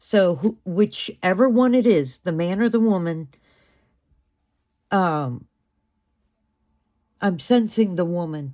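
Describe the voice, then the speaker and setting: Very slowly, a woman speaks with a dark, mellow tone at a medium pitch and lively intonation. The recording is very clean, with a silent background. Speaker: tarot reader. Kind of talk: tarot reading monologue. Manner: hesitant, many fillers.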